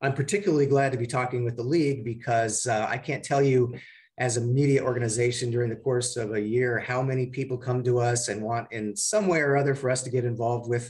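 A man speaking very fast with hardly any pauses, somewhat breathy, with fairly even intonation, over a quiet background. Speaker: radio station general manager. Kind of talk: guest talk to an audience. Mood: warm, appreciative. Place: office. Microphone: video call.

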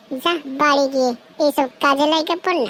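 A woman puts on a cartoonish character voice with a high pitch. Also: fairly quick pace. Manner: cocky, swearing slang.

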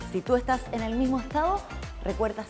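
Clear music sits in the background as a woman speaks at a high pitch. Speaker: fitness instructor. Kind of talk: tutorial. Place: gym.

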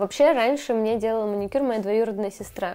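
A woman at a fairly quick pace. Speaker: beauty vlogger. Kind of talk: casual vlog chat. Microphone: lapel.

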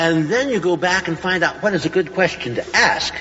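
A man's high-pitched voice over light background noise. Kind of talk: lecture. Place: hall.

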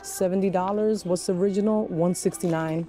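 A woman's fairly even voice, dry with no echo, over faint background music. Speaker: shopping vlogger. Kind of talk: casual vlog chat. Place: shop.

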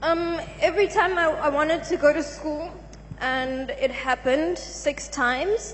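A woman speaks at a fairly slow pace in a high voice with ordinary pitch variation. Light background noise can be heard. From South Africa. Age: young. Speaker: church congregant giving testimony. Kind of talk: testimony. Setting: church. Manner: halting. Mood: subdued, sombre. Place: church. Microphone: handheld.

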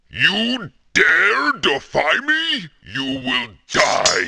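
A man's put-on character voice, bright and sharp, fairly high in pitch with very wide swings, a slightly husky edge, vocal fry, and a very slow pace

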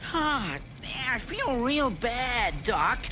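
A raised, projected voice over noticeable background noise. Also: woman. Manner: weak, ill puppet rabbit voice. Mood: complaining, feeling unwell.

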